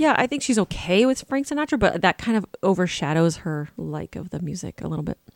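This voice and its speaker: A woman speaks at medium pitch with vocal fry and very wide pitch swings. Her fairly quick delivery has hardly any pauses, and the sound is dry and close with no echo. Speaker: cookie decorating teacher. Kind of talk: casual chat.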